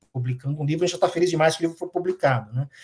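A man speaks at a fairly high pitch with a dark, mellow tone. The background is quiet. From Brazil. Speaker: professor of international relations. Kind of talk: interview. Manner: hesitant, many fillers. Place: home room.

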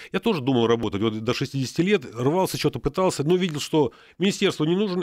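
Speaking fairly quickly with lively intonation, a man with fairly high pitch sounds dry and free of echo against a quiet background. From Luhansk region, eastern Ukraine. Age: 60s. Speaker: retired military psychiatrist; radio guest. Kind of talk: radio interview. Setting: radio studio. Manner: hesitant, many filler sounds. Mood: animated, friendly. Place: studio. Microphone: studio mic.

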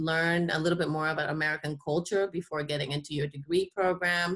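At a fairly quick pace, a woman speaks in a cheerful tone with a Spanish accent. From Panama. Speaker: university admissions staff. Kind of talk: informational presentation. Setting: video call. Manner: cheerful, laughs often.

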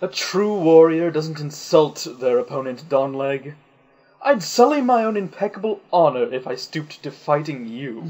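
This put-on character voice sounds whiny, moving at a moderate pace with lively intonation. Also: man, fairly high pitch for a man. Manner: whiny, pompous.

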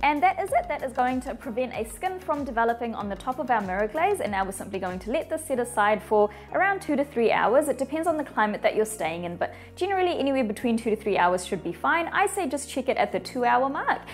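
A woman with a high pitch talks at a very fast pace, with hardly any pauses. Faint music plays in the background. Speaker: baking instructor. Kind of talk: tutorial. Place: studio. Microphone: lapel.

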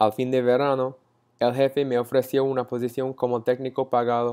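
A man with an American accent speaks at a moderate pace against a quiet background. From Texas (Frisco, north of Dallas); Texas. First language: English (speaking Spanish). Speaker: university student. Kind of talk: class presentation. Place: home room. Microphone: earbuds.

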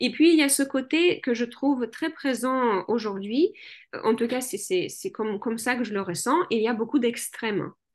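A woman speaks at a fairly slow pace with a non-native accent and a high pitch. Her intonation is lively, and the background is quiet. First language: not French (speaking French). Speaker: general practitioner and hypnotherapist; guest. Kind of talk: interview. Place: home room. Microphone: webcam.

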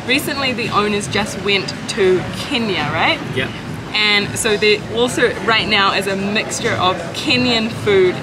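Over clear background music, a woman speaks at a moderate pace with ordinary pitch variation. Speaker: travel vlogger. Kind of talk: casual vlog chat. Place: cafe. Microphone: phone near.

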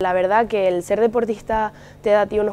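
A woman speaks at a moderate pace in a dark, mellow tone. Her intonation stays monotone and flat. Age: 18. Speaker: university student and lifesaving athlete. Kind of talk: interview testimony. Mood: relaxed, positive. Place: hall. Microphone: lapel.

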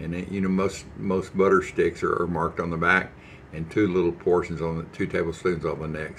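There is light background noise as a man with a very deep, low pitch speaks at a moderate pace. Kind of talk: casual cooking tutorial chat. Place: kitchen. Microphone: phone near.

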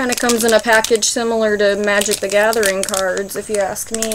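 Noticeable background noise sits behind the voice. A woman talks at a moderate pace with monotone, flat intonation. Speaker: candy reviewer. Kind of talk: casual vlog chat. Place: garden. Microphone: phone near.

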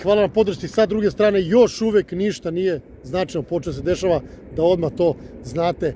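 At a moderate pace, a man speaks with ordinary pitch variation, the sound dry with no echo over light background noise. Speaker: local vlogger. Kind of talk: casual vlog commentary. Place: street. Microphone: phone near.

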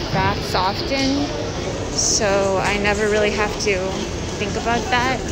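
Very slow speech under loud background noise. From Vancouver, Canada. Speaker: vlogger / streamer. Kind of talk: casual chat. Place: shop. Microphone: phone near.

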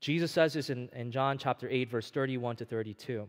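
The speech carries ordinary pitch variation over a quiet background. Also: man. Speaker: preacher. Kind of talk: sermon. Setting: church. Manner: animated, call-and-response; earnest, direct. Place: church.

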